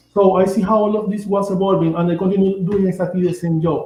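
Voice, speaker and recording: Over noticeable background noise, a high-pitched man with a Venezuelan accent talks at a very fast pace. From Venezuela (Amazon region). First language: Spanish. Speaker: shaman and author. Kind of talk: interview. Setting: livestream. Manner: halting, with repetitions.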